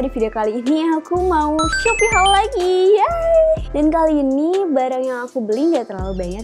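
Clear music plays behind a woman who talks at a moderate pace with very wide pitch swings. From Bandung, Indonesia. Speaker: fashion vlogger. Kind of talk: casual talk to camera. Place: home room. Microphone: lapel.

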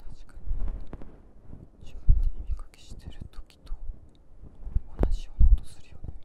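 A woman whispers at a moderate pace with long, frequent pauses, her loudness swinging widely against noticeable background noise. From Japan. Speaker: ASMR creator. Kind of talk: ASMR whisper talk with ear cleaning. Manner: soft, whispered.

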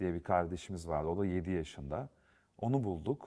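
A man with a fairly low pitch speaks at a moderate pace. The background is quiet. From Turkey, Yozgat; Turkey. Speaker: film and TV director; guest. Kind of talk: studio interview. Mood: calm, reflective. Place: studio. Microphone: lapel.

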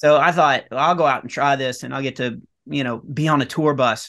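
Here a man talks in a Texan accent. His tone is bright and sharp, his intonation fairly even. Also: quiet background. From Texas, rural north Texas near Dallas/Fort Worth. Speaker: comedian. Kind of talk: casual chat; interview answer. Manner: halting, many fillers. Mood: relaxed storytelling. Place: home room. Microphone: webcam.

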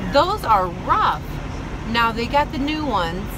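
A woman talks at a very slow pace while noticeable background noise plays behind her. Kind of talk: casual vlog chat. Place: car. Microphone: phone near.

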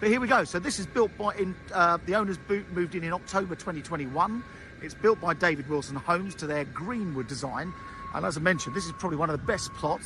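Very fast speech with lively intonation has a dry sound with no echo and music playing in the background. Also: man. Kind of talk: property tour commentary. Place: street. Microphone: phone near.

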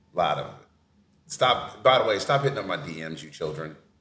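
With light background noise and audible room echo, a man talks in an animated tone at a fairly quick pace. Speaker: podcast host. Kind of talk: casual chat. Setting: on location at an art fair event. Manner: animated, joking. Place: home room.

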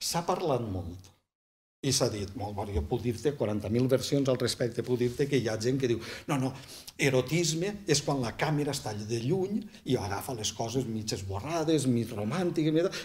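A man's somewhat breathy voice with a southern Valencian accent and lively intonation. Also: medium pitch for a man, moderate pace. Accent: southern Valencian Catalan. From Vall d'Albaida, Valencia (L'Olleria). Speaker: writer and poet; poet. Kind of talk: casual interview. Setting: small bookshop set up as studio. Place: studio.

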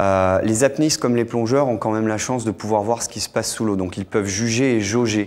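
A man talks at a fairly quick pace with fairly even intonation and hardly any pauses. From Monaco. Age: 40s. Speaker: freediver; guest. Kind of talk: TV interview. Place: studio. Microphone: lapel.

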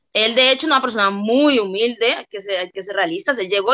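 A woman's bright, sharp voice at a very fast pace over a quiet background. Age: 20s. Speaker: freestyle rapper; interviewee. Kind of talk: interview. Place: home room. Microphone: video call.

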